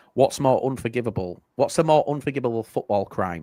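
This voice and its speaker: A man talks at a fairly quick pace in a dark, mellow tone with ordinary pitch variation. The sound is dry and close, with no echo. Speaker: football podcast host. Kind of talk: casual chat, quiz questions.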